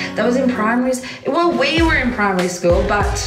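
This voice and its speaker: Clear music fills the background. A woman talks over it. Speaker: livestreamer. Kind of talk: casual livestream chat reading comments. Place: home room. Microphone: phone near.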